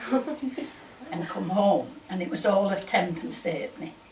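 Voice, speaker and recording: Against noticeable background noise, a woman with a Lancashire accent speaks at a medium pitch with lively intonation. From northern England, Lancaster area. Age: 80s+. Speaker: oral history interviewee. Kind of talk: oral history interview.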